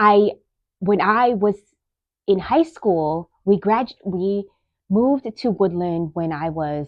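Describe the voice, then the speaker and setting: A woman with a Bay Area accent speaks at a very slow pace, leaving long, frequent pauses. Her intonation is lively. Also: medium pitch for a woman. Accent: Californian English, Bay Area. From US West Coast, East Side San Jose, California. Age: 30s. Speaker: podcast host, nurse. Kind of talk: casual monologue. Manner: rambling, conversational, self-interrupting.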